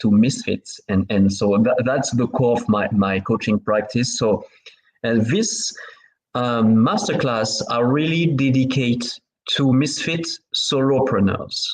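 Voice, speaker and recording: Speaking with a French accent, a man talks at a fairly slow pace with lively intonation. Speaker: business coach. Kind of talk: interview. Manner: halting.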